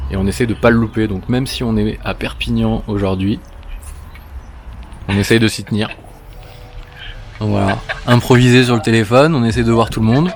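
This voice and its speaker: A man speaks with a fairly low pitch and long, frequent pauses. Noticeable background noise runs under his voice. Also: ordinary pitch variation, moderate pace. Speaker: vlogger, business owner. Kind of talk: casual vlog chat.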